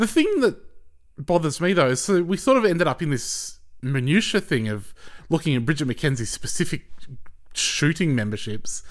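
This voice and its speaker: With an Australian accent, the speaker moves at a moderate pace through very wide pitch swings. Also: man, fairly high pitch for a man. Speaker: guest co-host. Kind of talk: casual political chat.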